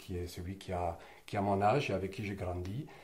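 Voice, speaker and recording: Fairly even in intonation, a man with a very deep, low voice speaks with audible room echo. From southern France, Roussillon (Catalan region). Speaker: interviewee sharing life memories. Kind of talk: personal testimony interview. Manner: hesitant, many fillers and restarts.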